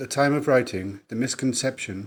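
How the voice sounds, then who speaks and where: A man with a Welsh accent speaks at a moderate pace in a very clean recording with a silent background. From south Wales. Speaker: author. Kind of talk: podcast trailer introduction.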